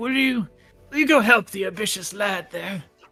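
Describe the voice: Over music in the background, a man puts on a raspy, high-pitched character voice, raised and projected, at a moderate pace.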